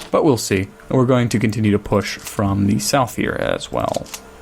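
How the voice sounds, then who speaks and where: Through noticeable background noise, a man with a fairly low pitch speaks at a moderate pace with ordinary pitch variation. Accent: American. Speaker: gaming video creator. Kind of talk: let's play commentary. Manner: casual, hesitant with fillers.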